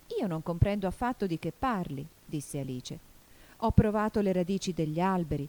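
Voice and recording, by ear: A natural voice reading aloud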